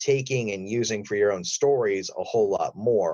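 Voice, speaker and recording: A man at a medium pitch with a plain, everyday voice and lively intonation. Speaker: voice actor. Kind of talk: interview answer.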